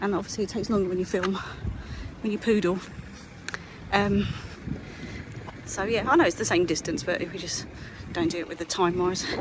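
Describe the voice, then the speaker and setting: A woman speaks at a medium pitch and a fairly quick pace, with fairly even intonation. Her long pauses come often, and there is noticeable background noise. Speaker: walking vlogger. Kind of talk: walking vlog commentary. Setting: outdoors, walking by the seafront. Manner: casual, chatty.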